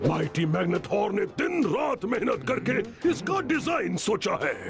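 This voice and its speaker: A man puts on a cartoonish character voice pitched high. He speaks at a fairly slow pace over clear background noise. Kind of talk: royal proclamation.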